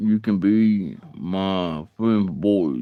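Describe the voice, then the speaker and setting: With an Alabama accent, a man speaks at a fairly low pitch with ordinary pitch variation. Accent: US Southern (Alabama). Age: 40s. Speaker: live streamer, bible study host. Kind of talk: casual live stream chat. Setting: live stream. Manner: halting, repetitive.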